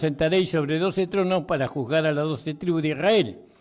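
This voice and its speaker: A man talks at a moderate pace in a normal speaking voice. His pitch is fairly high, with ordinary variation. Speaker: pastor, radio preacher. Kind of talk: sermon, preaching on the radio.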